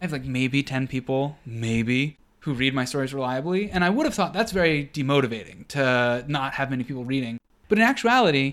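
On a very clean recording with a silent background, an ordinary speaking voice with an American accent moves at a fairly quick pace with lively intonation. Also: man. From US. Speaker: podcast co-host. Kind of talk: casual chat.

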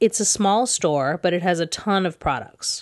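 A woman with an American accent talks in an ordinary speaking voice at medium pitch. Her pitch variation is ordinary, and the background is quiet. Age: 30s. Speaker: podcast host and romance novelist. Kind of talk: solo monologue podcast.

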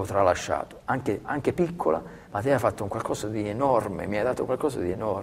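This man speaks with a fairly low pitch, ordinary pitch variation and a somewhat breathy quality. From Calabria, southern Italy. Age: 40s. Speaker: athletic trainer. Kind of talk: interview. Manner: halting, many repetitions.

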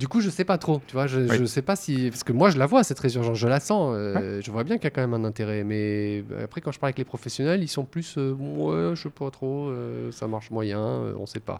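A man's fairly quick, lively speech over noticeable background noise. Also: medium pitch for a man. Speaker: podcast host. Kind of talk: interview. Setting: library recording room, masked. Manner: halting.

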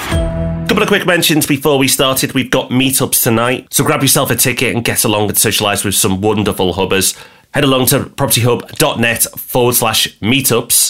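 Here a man talks in an English accent with lively intonation. His pace is fairly quick, with hardly any pauses. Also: medium pitch for a man, very even loudness. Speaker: property podcast co-host. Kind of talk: casual chat.

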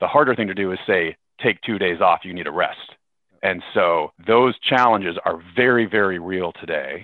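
In a West Coast US accent, a man talks at a moderate pace. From US, Seattle area. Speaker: tech company executive. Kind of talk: interview.

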